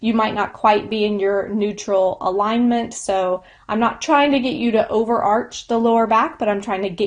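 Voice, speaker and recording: A woman talks in an ordinary speaking voice, fairly high in pitch. Her pace is moderate and her intonation fairly even. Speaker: yoga instructor. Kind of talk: lecture.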